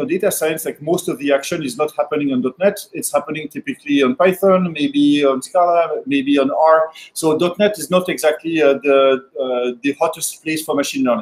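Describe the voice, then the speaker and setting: With a French accent, a man talks at a fairly high pitch with ordinary pitch variation. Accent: French accent (joking he sounds Californian). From France. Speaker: software developer and machine learning speaker. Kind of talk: technical talk at a meetup. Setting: meetup with live audience. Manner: fast; hesitant, many fillers.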